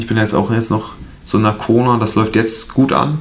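A man's fairly even intonation comes through noticeable background noise and audible room echo. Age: 20s. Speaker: videographer and photographer. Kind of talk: casual chat.

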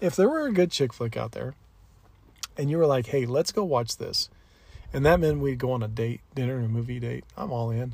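A man talks at a fairly quick pace, his voice somewhat breathy. His pitch is medium, with ordinary variation. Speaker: podcast co-host. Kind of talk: casual chat. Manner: animated announcer-style delivery.

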